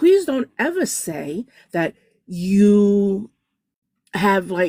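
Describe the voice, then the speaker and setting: At a very slow pace, a woman with a medium pitch speaks with lively intonation, the sound dry and close with no echo. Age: 50s. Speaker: podcast panel guest, abuse survivor. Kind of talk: testimony. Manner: halting.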